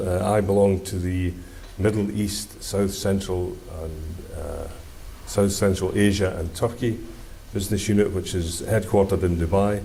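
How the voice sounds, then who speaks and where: A man with a Scottish accent speaks at a moderate pace in a fairly low voice. Noticeable background noise and audible room echo fill the recording. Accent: Scottish, can be difficult to follow. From Scotland. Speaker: engineer. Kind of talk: conference presentation. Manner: hesitant, many fillers.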